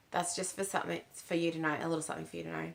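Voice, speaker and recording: A woman is speaking. She has an Australian accent. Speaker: spiritual channel host. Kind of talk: casual spiritual talk to camera. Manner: halting, many fillers.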